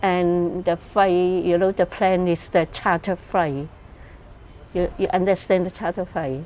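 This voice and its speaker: In a Cantonese accent, a woman talks at a fairly slow pace with fairly low pitch and monotone, flat intonation. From Hong Kong. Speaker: migrant interviewee. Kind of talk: interview testimony. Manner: halting.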